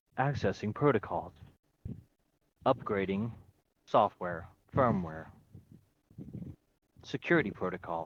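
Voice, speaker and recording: A man puts on a robotic character voice, fairly low in pitch, speaking fairly slowly with long, frequent pauses. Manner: mechanical, monotone.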